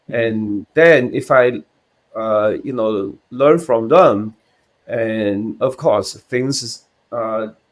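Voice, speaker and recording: A man with a Chinese accent at a very slow pace, with ordinary pitch variation. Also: medium pitch for a man. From China. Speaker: CPA exam candidate. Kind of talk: interview answer. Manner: hesitant, halting.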